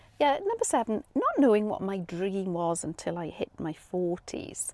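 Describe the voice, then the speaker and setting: A woman speaks at a medium pitch and moderate pace with lively intonation. Noticeable background noise runs underneath. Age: 50s. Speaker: retired nurse and vlogger. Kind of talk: personal vlog monologue. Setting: inside a motorhome on a driveway. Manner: hesitant, with fillers and repetitions.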